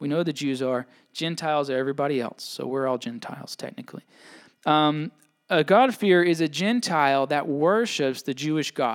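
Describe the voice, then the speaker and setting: A fairly high-pitched man with a Southern US accent, speaking fairly quickly on a very clean recording with a silent background. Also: ordinary pitch variation. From Mississippi. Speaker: pastor. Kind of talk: sermon. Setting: church.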